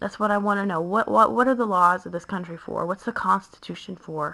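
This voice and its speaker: Speaking with vocal fry, a woman has a bright, sharp tone, a medium pitch and ordinary pitch variation. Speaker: mother. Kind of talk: casual monologue to camera. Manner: hesitant, rambling with fillers.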